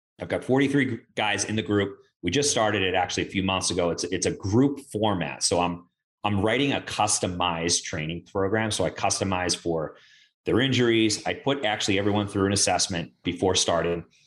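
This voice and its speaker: Here a man talks at a fairly quick pace with a fairly low pitch and ordinary pitch variation. He has a plain, everyday voice, set against a quiet background. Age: 30s. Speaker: strength coach. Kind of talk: casual chat.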